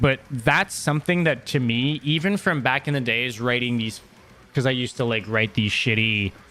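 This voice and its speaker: This man has a bright, sharp tone and a Quebec accent, with medium pitch and ordinary pitch variation. He talks at a moderate pace. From Quebec, Montreal. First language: French. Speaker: metal podcaster and former band musician. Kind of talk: casual solo podcast chat. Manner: hesitant, many fillers and repeated words.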